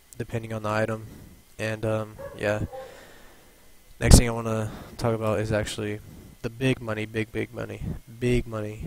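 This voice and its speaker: Over noticeable background noise, a man talks at a fairly quick pace. His medium-pitched voice has monotone, flat intonation. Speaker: gaming YouTuber. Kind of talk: tutorial. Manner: halting, stuttering.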